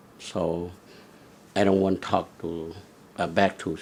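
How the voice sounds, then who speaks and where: A man's very deep, low voice, fairly slow in pace and monotone, with flat intonation. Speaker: war refugee and former soldier. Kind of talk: interview testimony. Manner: halting.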